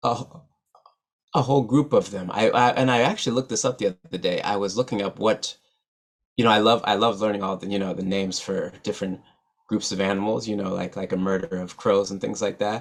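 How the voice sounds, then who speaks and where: Very fast speech comes from a man with an American accent and a fairly low pitch. The recording is very clean, with a silent background. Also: ordinary pitch variation. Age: 30s. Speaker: musician and poet, keynote speaker. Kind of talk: keynote talk. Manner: stutters; many repetitions and fillers.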